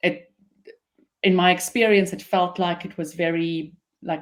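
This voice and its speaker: A woman's fairly low-pitched voice with an Afrikaans accent, at a fairly slow pace. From South Africa, Pretoria. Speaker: business founder and CEO. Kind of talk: interview.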